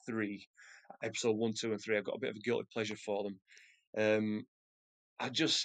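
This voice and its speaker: This is a man with a medium-pitched voice. The sound is dry and close, with no echo. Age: 30s. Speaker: podcast guest, Star Wars fan. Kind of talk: casual chat.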